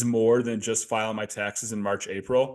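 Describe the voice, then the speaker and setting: A man with an American accent, fairly low-pitched and monotone, at a moderate pace over a quiet background. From US Midwest, Chicago. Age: 30s. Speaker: accountant, business owner. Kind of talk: podcast interview.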